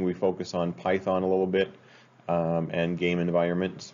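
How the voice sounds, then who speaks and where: A man's very deep, low voice with an American accent, flat monotone intonation, and a moderate pace. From Utah. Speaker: school teacher. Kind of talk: class introduction video. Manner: casual, hesitant with many fillers. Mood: relaxed, friendly. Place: home room. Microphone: webcam.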